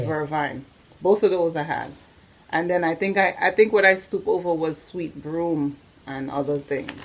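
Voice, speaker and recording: Over noticeable background noise, a woman with a fairly low pitch talks at a moderate pace with ordinary pitch variation. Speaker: doula, interviewer. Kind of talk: interview questions.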